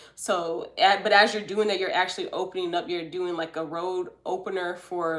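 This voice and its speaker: A woman's fairly low-pitched voice at a fairly quick pace. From US South, Atlanta, Georgia. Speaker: tarot card reader, livestream host. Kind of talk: live stream reading and chat. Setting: live stream. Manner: casual, chatty.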